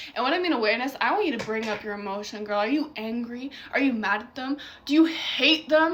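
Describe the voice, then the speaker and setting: A woman speaks at a very fast pace in a high pitch, her tone animated. Audible room echo and noticeable background noise fill the recording. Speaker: mindset coach. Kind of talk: motivational short talk.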